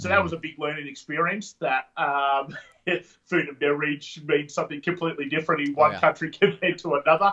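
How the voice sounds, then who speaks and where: With an Australian accent, a man speaks very fast at a fairly high pitch, his tone bright and sharp and his intonation fairly even. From Sydney, Australia. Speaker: entrepreneur, referral marketing trainer. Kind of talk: podcast interview answer.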